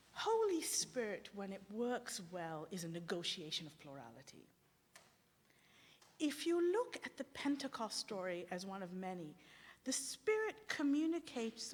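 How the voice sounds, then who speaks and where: Somewhat breathy and fairly high-pitched, a woman speaks fairly slowly with very wide pitch swings and big swings in loudness. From Sri Lanka. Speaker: theologian. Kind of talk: academic lecture. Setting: symposium with audience. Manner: halting, with false starts.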